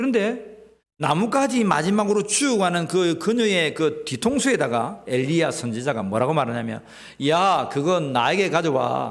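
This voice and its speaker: With a Gyeongsang accent, a man speaks at a moderate pace and high pitch, his very wide pitch swings set against very even loudness and audible room echo. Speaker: pastor. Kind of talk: sermon. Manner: animated.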